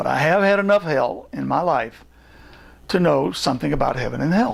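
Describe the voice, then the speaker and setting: With an American accent, a man talks at a moderate pace. His pitch is high. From US, Virginia and Kansas. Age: 70s. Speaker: theologian. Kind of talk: personal testimony talk.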